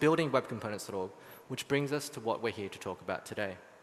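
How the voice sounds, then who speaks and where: A man with an Australian accent talks at a medium pitch. His pitch swings very widely. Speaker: software engineer. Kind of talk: conference talk.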